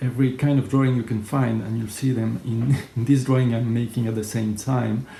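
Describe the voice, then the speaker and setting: In a French accent, a man speaks with fairly even intonation. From France. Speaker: graphic facilitator. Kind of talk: tutorial.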